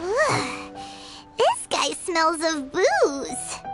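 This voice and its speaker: A squeaky put-on character voice at an extremely high pitch over loud music in the background. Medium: video game. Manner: brisk, casual.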